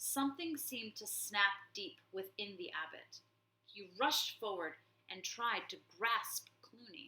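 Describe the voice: Text read aloud, plain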